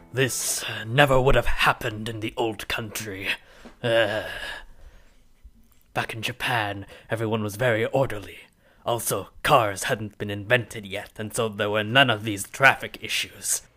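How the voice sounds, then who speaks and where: A man's put-on character voice at medium pitch, moderate pace, with long, frequent pauses, on a very clean recording with a silent background. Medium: actual play. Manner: gruff, dry, curt and grumbling.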